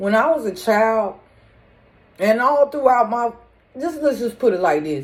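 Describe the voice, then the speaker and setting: In a very clean recording with a silent background, a woman talks loudly at a fairly high pitch and a fairly slow pace, her pitch swinging very widely between long, frequent pauses. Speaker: spiritual medium vlogger. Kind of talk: casual monologue.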